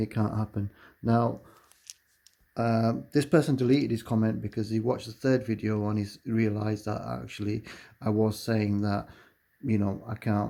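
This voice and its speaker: A dark, mellow voice moves at a moderate pace with fairly even intonation and long, frequent pauses. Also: man, fairly low pitch for a man. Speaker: lottery pattern video maker. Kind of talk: video commentary. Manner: halting, filler-heavy.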